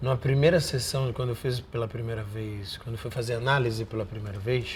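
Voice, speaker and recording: A man talking at a fairly quick pace with fairly even intonation. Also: medium pitch for a man. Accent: Rio de Janeiro. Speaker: actor. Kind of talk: interview. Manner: repetitive, halting.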